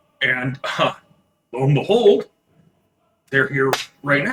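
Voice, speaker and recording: Using a put-on character voice, a man speaks fairly slowly in a fairly high, raspy pitch. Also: lively intonation. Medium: actual play. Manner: hesitant, halting, full of fillers.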